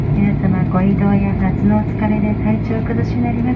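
Someone speaks at a moderate pace over loud background noise. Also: woman. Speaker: flight attendant. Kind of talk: in-flight cabin announcement. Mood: soft, polite, warm. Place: plane.

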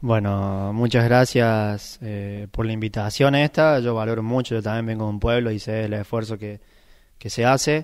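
At a moderate pace and with fairly even intonation, the voice comes through against a quiet background. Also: man, medium pitch for a man. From Argentina, Córdoba province (Sacanta); Córdoba province, Argentina. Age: 20s. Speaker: bocce world champion. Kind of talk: interview. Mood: grateful, calm. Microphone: handheld.

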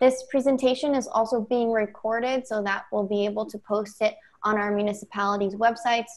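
The voice moves at a fairly quick pace with fairly even intonation. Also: woman. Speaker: presenter. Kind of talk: presentation. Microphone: video call.

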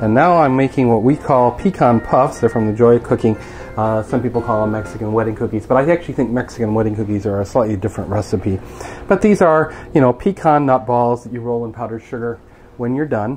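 With music in the background, a man speaks at a very fast pace with ordinary pitch variation. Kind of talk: casual vlog chat. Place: kitchen.

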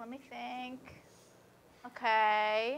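Very slowly, a woman speaks. Her pitch shows ordinary variation. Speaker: co-host. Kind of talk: casual comedic chat.

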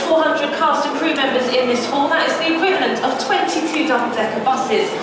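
Loud background noise and audible room echo fill the recording. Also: woman. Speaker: tour guide. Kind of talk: guided tour commentary. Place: hall. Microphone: camera far.

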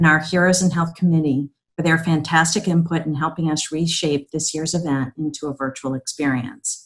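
A somewhat breathy woman's voice, fairly low in pitch, with ordinary pitch variation. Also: quiet background. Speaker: nonprofit CEO. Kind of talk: prepared speech. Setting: virtual event video. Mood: warm, upbeat. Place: home room. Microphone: webcam.

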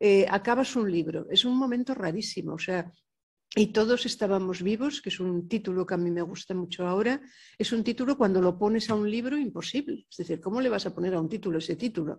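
Somewhat breathy speech moves at a fairly quick pace with ordinary pitch variation over a quiet background. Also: woman. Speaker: poet. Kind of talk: panel discussion. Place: hall. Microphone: podium.

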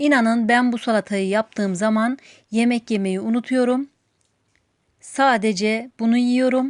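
In a plain, everyday voice, a woman speaks at a fairly high pitch with fairly even intonation and very even loudness. The sound is dry and close with no echo, and the background is quiet. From Turkey, outside Istanbul. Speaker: cooking channel host. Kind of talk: cooking tutorial. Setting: home kitchen.

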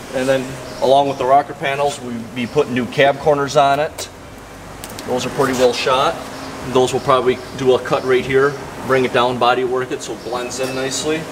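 A man talks at a fairly quick pace in a monotone, flat intonation, leaving long, frequent pauses over noticeable background noise. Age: 30s. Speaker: auto body shop worker. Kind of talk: shop tour explanation. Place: garage. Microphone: camera far.

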